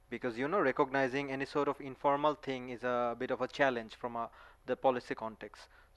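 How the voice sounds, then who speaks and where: This man speaks at a very fast clip. His intonation is fairly even. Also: medium pitch for a man. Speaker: policy researcher, audience questioner. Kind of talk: conference Q&A question.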